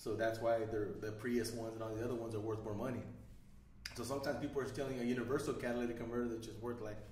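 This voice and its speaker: Amid light background noise and audible room echo, a man talks at a very fast pace with monotone, flat intonation. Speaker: podcast host. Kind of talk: casual conversation. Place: studio.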